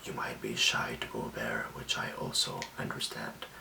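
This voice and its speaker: A man whispering at a fairly slow pace over noticeable background noise. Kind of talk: ASMR self-care talk to camera. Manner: soft whisper, calming.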